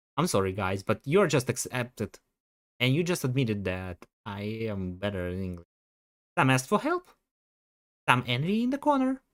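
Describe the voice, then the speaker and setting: Someone speaks at a moderate pace in a Russian accent, with long, frequent pauses. The recording is very clean with a silent background. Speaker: streamer. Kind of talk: livestream casual chat. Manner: animated.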